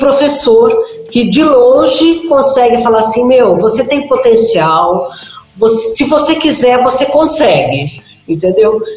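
A woman's high-pitched voice with lively intonation, a very slow pace and very even loudness, amid noticeable background noise and audible room echo. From Brazil, Minas Gerais. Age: 50s. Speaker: drama and voice teacher. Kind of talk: casual interview chat.

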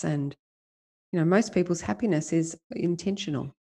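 Her voice is fairly low for a woman, with a dark, mellow tone. She speaks at a moderate pace with ordinary pitch variation against a quiet background. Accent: Australian. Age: 50s. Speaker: life coach. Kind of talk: interview.

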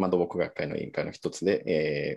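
Fairly even intonation marks a man's very deep, low voice. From Mexico. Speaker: bridge design engineer. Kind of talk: online interview. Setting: video call. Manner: halting.

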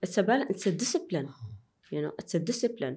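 A woman with an Arabic accent speaks at a medium pitch in a dark, mellow tone, with very wide pitch swings. The recording is very clean with a silent background. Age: 30s. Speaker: airline pilot. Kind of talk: interview conversation.

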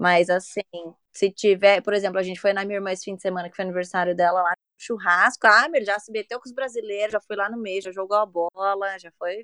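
Very fast and with big swings in loudness, a woman speaks at a medium pitch with fairly even intonation and a bright, sharp tone, in a dry, close sound with no echo. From Brazil, São Paulo. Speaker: podcast guest, mother. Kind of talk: casual chat.

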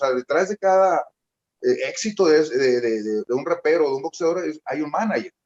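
This man's voice is high-pitched with lively intonation. He keeps a moderate pace. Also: dry, close sound with no echo. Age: 40s. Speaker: rapper. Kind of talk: casual chat. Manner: talkative.

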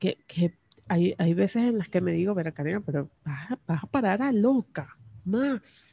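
In a dry, close sound with no echo, a woman speaks at medium pitch with a dark, mellow tone, somewhat breathy and with lively intonation. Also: fairly slow pace. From Venezuela. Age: 30s. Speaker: personal podcaster. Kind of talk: personal diary monologue. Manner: intimate, close to the mic; halting with fillers and repetitions. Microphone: very close to the microphone.

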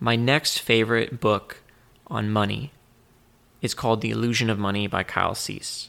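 A man speaks quietly at a fairly low pitch. His tone is bright and sharp. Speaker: podcast host. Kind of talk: solo podcast monologue. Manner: reserved, quiet.

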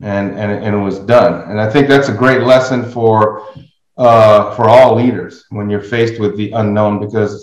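A normal speaking voice from a man, fairly low in pitch, with fairly even intonation. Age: 60s. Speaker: podcast host. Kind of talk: casual interview conversation.

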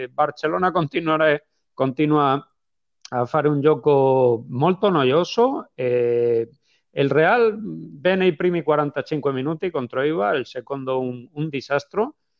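At a very slow pace, a man with a Spanish accent talks in a fairly high pitch with lively intonation. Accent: Spanish accent in Italian. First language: Spanish (speaking Italian). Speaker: football podcast co-host. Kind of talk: casual chat. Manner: halting.

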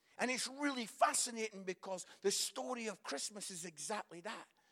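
Speaking in a raised, projected voice with a Scottish accent, a man delivers an animated tone that is bright and sharp, at a high pitch with ordinary pitch variation and a moderate pace. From Scotland. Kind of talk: sermon.

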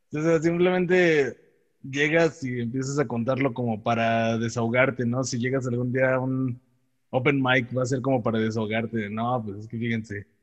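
This man speaks at a medium pitch with a Mexican accent. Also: ordinary pitch variation, moderate pace. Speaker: podcast host. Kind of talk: casual chat.

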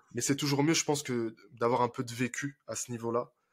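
The recording is very clean, with a silent background. A man speaks at a moderate pace and medium pitch with ordinary pitch variation. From France, Paris suburbs (Seine-Saint-Denis). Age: 20s. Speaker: relationship coach. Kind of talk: casual interview.

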